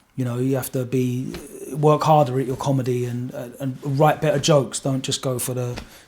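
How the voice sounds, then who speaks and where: With an Essex accent, a man talks at a fairly quick pace in a medium pitch. His intonation is monotone and flat. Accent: Essex accent, never changed. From Essex, England. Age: 40s. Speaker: radio DJ. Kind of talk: podcast interview. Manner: halting, many fillers and repeats.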